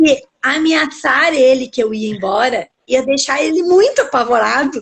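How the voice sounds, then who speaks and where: High-pitched woman with lively intonation at a fairly slow pace. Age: 40s. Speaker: conflict mediator and lawyer. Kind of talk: live-stream interview.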